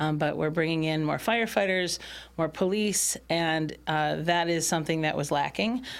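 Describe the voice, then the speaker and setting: A woman's fairly low voice with an American accent, a normal speaking voice at a moderate pace, ordinary pitch variation and very even loudness. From Michigan, Bloomfield Township. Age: 50s. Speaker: township supervisor. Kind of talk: casual interview. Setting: studio.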